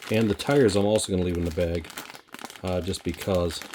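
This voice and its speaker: Fairly quick-paced speech against noticeable background noise. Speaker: scale model hobbyist YouTuber. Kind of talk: casual kit review. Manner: casual, many fillers.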